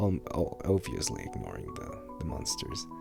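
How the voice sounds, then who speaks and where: With music in the background, the voice has a gentle tone and a fairly slow pace. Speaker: ASMR creator. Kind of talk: ASMR Q&A talk to listener. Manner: soft-spoken, gentle.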